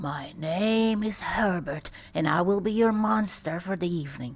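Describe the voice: A put-on character voice, female-sounding and breathy, medium in pitch for a woman, delivered at a moderate pace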